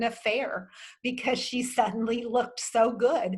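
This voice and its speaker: A somewhat breathy, fairly high woman's voice, moving at a moderate pace. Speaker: wardrobe consultant. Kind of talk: virtual workshop Q&A.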